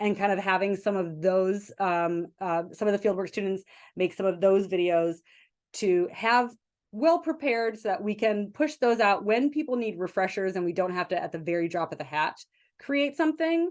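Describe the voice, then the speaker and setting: Against a quiet background, a woman of medium pitch speaks at a moderate pace with lively intonation. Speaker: behavior analyst presenter and consultant. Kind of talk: webinar Q&A discussion. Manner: many fillers and hesitations.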